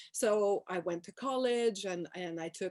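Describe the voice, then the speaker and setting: Speaking at a fairly slow pace, a woman talks in a Quebec French accent. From Quebec, Montreal. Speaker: professor. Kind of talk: panel talk. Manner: hesitant, many fillers.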